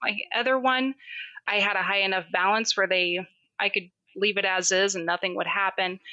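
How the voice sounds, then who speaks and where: A woman with a bright, sharp tone speaks at a moderate pace. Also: medium pitch for a woman, fairly even intonation. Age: 30s. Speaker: caller. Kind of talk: call-in conversation.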